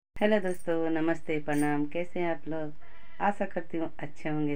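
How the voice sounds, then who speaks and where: Over light background noise, a woman speaks very slowly with fairly even intonation. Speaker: home vlogger. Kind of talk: casual vlog chat. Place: home room. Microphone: phone near.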